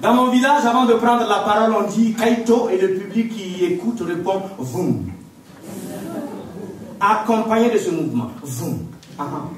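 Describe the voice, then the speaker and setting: Amid noticeable background noise, a man with a high pitch and lively intonation talks at a fairly slow pace, with long, frequent pauses. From Burkina Faso. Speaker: storyteller. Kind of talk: live storytelling performance to audience. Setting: theatre stage, live audience. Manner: lively, humorous, interactive.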